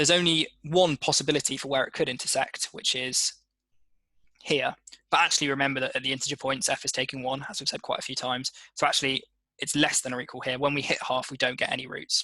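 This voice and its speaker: A man's fairly high voice, bright and sharp in tone, with fairly even intonation at a very fast pace. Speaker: student ambassador leading maths workshop. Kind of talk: tutorial.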